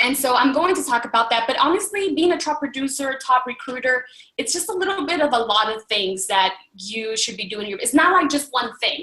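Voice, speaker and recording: Using a raised, projected voice, a woman talks at a high pitch and a fairly quick pace with very wide pitch swings and hardly any pauses. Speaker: fitness business coach. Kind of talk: motivational training talk. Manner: fast; animated.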